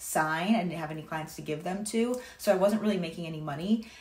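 Heard with audible room echo, a woman with an American accent speaks at a moderate pace, her pitch fairly low with ordinary variation. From Massachusetts, Cape Cod; Massachusetts. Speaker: online personal trainer. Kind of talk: testimonial. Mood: grateful, upbeat. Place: home room. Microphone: phone near.

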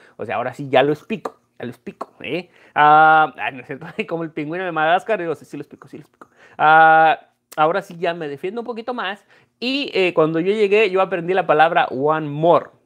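Against a quiet background, a man talks at a fairly quick pace in a high pitch, with an animated tone and ordinary pitch variation. His loudness swings widely. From Mexico, Guanajuato. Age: 30s. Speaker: coin dealer and YouTuber; YouTuber. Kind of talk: casual live stream chat. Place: home room. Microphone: earbuds.

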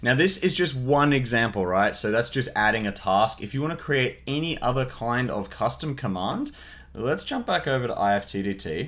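A man talks at a medium pace, his intonation lively. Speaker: tutorial host. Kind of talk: tutorial. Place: home room.

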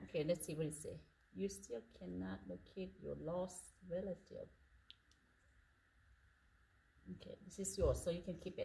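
With long, frequent pauses, a woman talks at a moderate pace over light background noise. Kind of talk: casual instructive chat with children. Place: church. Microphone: phone near.

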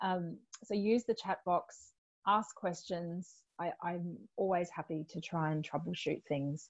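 A woman's slightly mellow, fairly low-pitched voice moves at a moderate pace with fairly even intonation.

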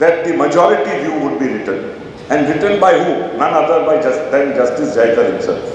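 Strong room echo and light background noise accompany a man speaking at a moderate pace. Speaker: lecturer at a memorial lecture. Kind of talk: lecture. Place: hall. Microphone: podium.

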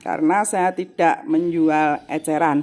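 A woman's fairly low voice with ordinary pitch variation over faint music in the background. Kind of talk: casual vlog chat. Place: workshop. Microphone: phone near.

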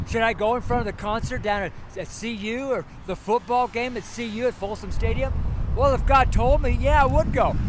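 A man speaks at an extremely high pitch with ordinary pitch variation and a moderate pace. The sound is dry with no echo, and there is noticeable background noise. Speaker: street preacher, founding pastor, missionary. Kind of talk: casual talk to camera, sermon-style street ministry. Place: street. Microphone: phone near.

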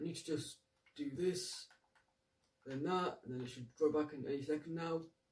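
A man speaks in a somewhat breathy voice with ordinary pitch variation. He leaves long, frequent pauses. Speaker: gaming YouTuber. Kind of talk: let's play commentary. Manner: halting, self-correcting.

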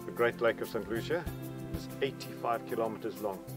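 Speaking at a fairly quick pace, a man comes across in a dry, echo-free sound while clear music plays behind him. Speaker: park guide. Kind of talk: guided tour talk. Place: open country.

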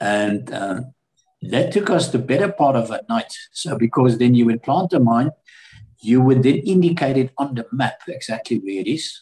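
A man with a medium pitch speaks at a moderate pace in a dark, mellow, somewhat breathy tone. His intonation is lively, and the background is quiet. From South Africa. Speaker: war veteran. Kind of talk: interview. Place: home room. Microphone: webcam.

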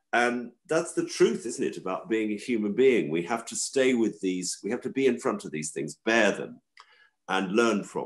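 Over a quiet background, a man speaks at a moderate pace with a southern English accent. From London, England. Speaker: organic farmer and food campaigner; podcast guest. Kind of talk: interview. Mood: calm, reflective. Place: home room. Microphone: video call.

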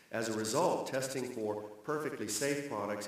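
Strong room echo surrounds a man who talks at a moderate pace with ordinary pitch variation. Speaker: congressman. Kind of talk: formal hearing. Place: hall.

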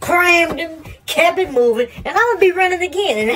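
Speaking at a fairly quick pace, a man uses a put-on character voice pitched extremely high for a man. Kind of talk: comic animal voice-over. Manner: swaggering, bragging, playful.

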